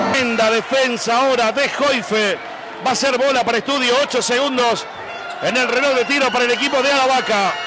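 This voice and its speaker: A man with an extremely high pitch uses a raised, projected voice at very even loudness and a fairly quick pace, with music in the background. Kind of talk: live basketball commentary. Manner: rapid-fire, excitable, animated play-by-play; exclamatory, rising volume on baskets.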